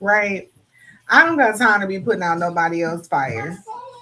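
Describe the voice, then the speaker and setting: A woman talks at a moderate pace. Her pitch varies in an ordinary way over noticeable background noise. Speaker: livestream co-host. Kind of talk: casual chat. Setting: livestream.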